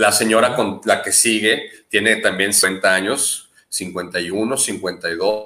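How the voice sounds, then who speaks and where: A man speaks very slowly, with hardly any pauses and fairly even intonation. His voice is fairly low in pitch, with a bright, sharp tone. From Mexico, Jalisco. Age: 30s. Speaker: adventure tourism business owner. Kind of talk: interview.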